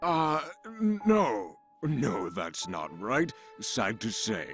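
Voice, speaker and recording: With faint music behind him, a man in a put-on character voice talks at a medium pitch and a very slow pace. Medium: video game. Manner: aloof, drawn-out, pondering.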